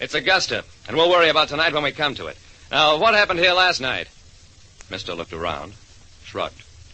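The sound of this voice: A man puts on a character voice with big pitch swings and a bright, sharp tone. His pitch is fairly high and his pace fairly quick.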